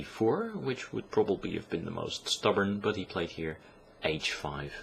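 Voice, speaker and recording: A man talks with a non-native accent. His pitch is fairly low. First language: not English. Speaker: chess commentator. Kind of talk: game analysis commentary. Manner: hesitant, many filler sounds.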